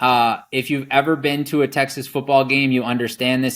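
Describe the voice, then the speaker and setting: A man of medium pitch talks at a moderate pace. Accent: American. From Wisconsin. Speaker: rancher. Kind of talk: casual interview chat.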